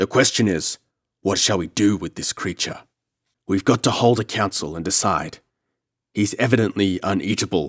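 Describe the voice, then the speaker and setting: In a booming, put-on character voice, a man with a fairly low pitch talks at a moderate pace with long, frequent pauses, the sound dry and close with no echo. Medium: read story. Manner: rough, domineering.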